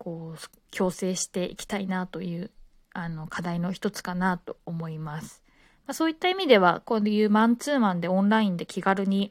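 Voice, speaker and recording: In an ordinary speaking voice, a woman talks at a moderate pace and medium pitch with ordinary pitch variation. Her loudness swings a lot, and the sound is dry and close with no echo. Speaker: podcaster, former flight attendant. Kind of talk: casual monologue. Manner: relaxed, many filler words.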